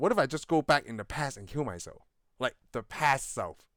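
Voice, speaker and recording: On a very clean recording with a silent background, a man talks at a fairly quick pace with lively intonation. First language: not English. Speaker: movie podcast co-host. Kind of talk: casual chat.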